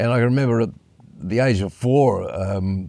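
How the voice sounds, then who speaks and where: Dark, mellow tone marks a man speaking with an Australian accent. His pitch varies in an ordinary way. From Western Australia (Perth area). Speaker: jazz piano player and music lecturer. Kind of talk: interview.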